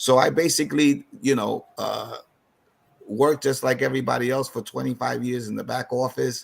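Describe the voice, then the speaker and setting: Speech moves at a moderate pace. It comes in a New York accent. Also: man. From New York City (East Harlem). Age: 60s. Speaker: financial advisor. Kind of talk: seminar presentation. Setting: online video call. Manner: halting.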